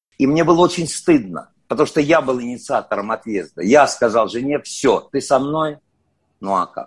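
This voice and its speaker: An unremarkable speaking voice from a man, fairly high in pitch with lively intonation, in a quiet background. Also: moderate pace. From Soviet Union. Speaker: actor. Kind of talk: interview.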